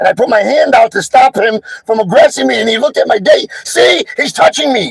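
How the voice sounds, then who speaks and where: Over music in the background, a man with an extremely high pitch and lively intonation is heard in a dry, close sound with no echo. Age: 60s. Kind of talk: live stream account of an incident. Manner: halting.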